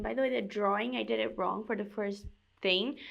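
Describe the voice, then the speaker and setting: With a non-native accent, a woman speaks at a fairly high pitch, her voice showing vocal fry. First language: not English. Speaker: crafts youtuber. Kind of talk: casual chat; tutorial. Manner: animated.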